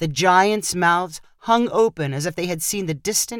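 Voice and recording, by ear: The text is read aloud in a natural voice with ordinary pitch variation.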